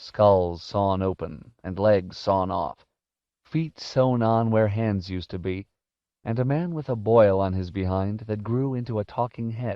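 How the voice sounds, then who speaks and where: A man speaks at a fairly low pitch and a very slow pace. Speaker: audiobook narrator. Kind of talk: audiobook narration of a fantasy novel.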